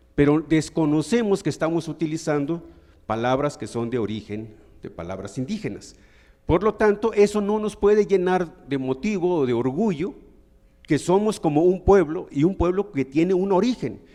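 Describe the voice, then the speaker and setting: The voice has a dark, mellow tone and a Mexican accent. It moves at a moderate pace with very wide pitch swings. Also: man, high pitch for a man. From Mexico, Huasteca region of Hidalgo. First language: Nahuatl (speaking Spanish). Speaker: audience member asking a question. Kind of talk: audience question at a lecture.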